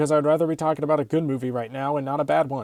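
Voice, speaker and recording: A man talks at a fairly high pitch in a dark, mellow tone. The sound is dry and close with no echo, on a very clean recording with a silent background. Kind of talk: casual movie review to camera. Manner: fast, with some stutters.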